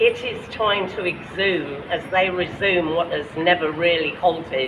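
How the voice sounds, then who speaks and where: In a London accent, the speaker talks at a very slow pace over noticeable background noise. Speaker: poet. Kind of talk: poetry reading at a rally.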